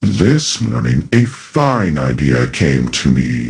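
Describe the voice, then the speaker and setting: A very deep, low-pitched man's put-on character voice, with lively intonation and a very slow pace. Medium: audio drama. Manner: surly.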